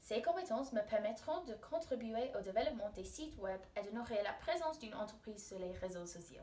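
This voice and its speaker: A woman with an English accent speaks at a moderate pace, her fairly high voice swinging very widely in pitch. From England. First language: English (speaking French). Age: 20s. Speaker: university student. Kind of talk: recorded self-presentation for a class, like a job application. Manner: formal.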